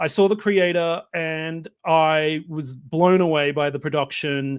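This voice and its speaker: Here a man with an Australian accent talks fairly slowly. His pitch is fairly high and his intonation fairly even. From Australia, Melbourne. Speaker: film director. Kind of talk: interview. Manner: hesitant, many fillers.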